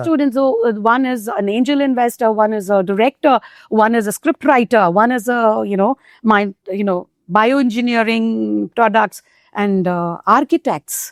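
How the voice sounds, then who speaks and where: In an Indian accent, a woman speaks at a moderate pace and fairly high pitch with ordinary pitch variation, in a very clean recording with a silent background and a dry, close sound with no echo. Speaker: Hindi teacher. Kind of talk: interview answer.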